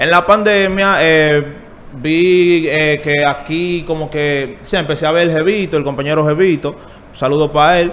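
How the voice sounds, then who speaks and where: A man speaks at a fairly slow pace with a fairly high pitch and fairly even intonation. He hardly pauses, and noticeable background noise runs underneath. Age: 20s. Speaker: urban music artist. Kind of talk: interview.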